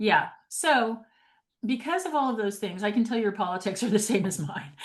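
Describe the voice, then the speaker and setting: A somewhat breathy, fairly high woman's voice with an American accent. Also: lively intonation, moderate pace. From New York City. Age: 60s. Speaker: podcast host and real estate agent. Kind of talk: casual interview chat.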